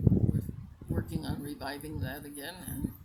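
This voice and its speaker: A woman speaks at a moderate pace, with audible room echo and noticeable background noise. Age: 80s+. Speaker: retired teacher and community volunteer. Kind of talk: interview. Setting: outdoors in a park.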